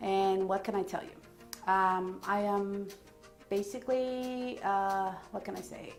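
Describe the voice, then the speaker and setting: The voice shows ordinary pitch variation. There is audible room echo and music in the background. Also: woman. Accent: American. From New York. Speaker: therapist. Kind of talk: self-introduction to camera.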